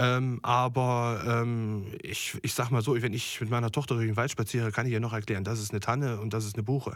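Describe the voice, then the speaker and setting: Here a man speaks at a medium pitch and a fairly quick pace. His intonation is monotone and flat. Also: hardly any pauses. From Germany, Thuringia. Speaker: chef. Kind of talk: interview. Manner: hesitant, many fillers.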